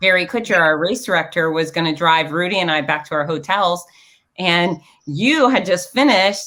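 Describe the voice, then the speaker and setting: A woman speaks loudly at a moderate pace, her pitch in the middle range with lively intonation. Her tone is bright and sharp, and her delivery is animated. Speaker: race announcer and show host. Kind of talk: casual chat.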